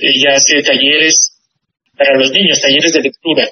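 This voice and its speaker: A man speaks at a moderate pace in a fairly high voice, his intonation fairly even. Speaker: visual artist. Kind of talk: radio interview. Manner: halting.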